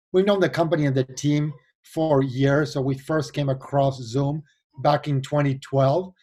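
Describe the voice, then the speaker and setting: A man speaks at a moderate pace with an Argentine accent. His voice is somewhat breathy. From Argentina. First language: Spanish. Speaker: venture capital investor and board member. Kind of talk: interview.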